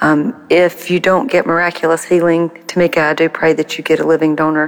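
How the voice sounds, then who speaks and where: A woman with an American accent speaks at a fairly quick pace in a very deep, low pitch. Her intonation is monotone and flat, with noticeable background noise. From US South, South Carolina. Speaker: listener caller. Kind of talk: voicemail prayer and encouragement.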